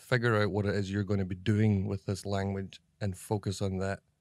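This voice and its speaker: With a Scottish accent, a man speaks at a moderate pace and a fairly low pitch in a monotone, flat intonation, on a very clean recording with a silent background and a dry, close sound with no echo. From Scotland. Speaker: comedy actor. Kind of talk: interview. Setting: office.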